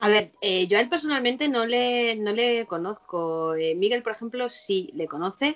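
Lively in intonation, a woman uses an ordinary speaking voice at a fairly high pitch and a moderate pace, with hardly any pauses. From Spain, Madrid. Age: 40s. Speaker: vice-president of a satanist association. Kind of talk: interview.

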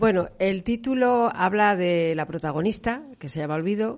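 Over a quiet background, a woman speaks at a moderate pace in a normal speaking voice with ordinary pitch variation. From León, Spain. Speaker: novelist. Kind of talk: radio interview.

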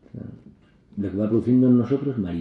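The voice belongs to a man. It carries some breathiness. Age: 50s. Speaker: priest. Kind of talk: talk.

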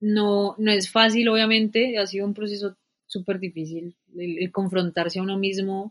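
A woman with an ordinary speaking voice, medium in pitch, at a moderate pace and with fairly even intonation. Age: 20s. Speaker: environmental engineer. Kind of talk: casual chat.

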